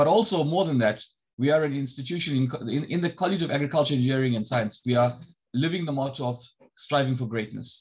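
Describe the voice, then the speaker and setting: A man speaks at a very fast pace. His pitch varies in an ordinary way. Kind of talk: welcome address. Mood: warm, encouraging. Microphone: video call.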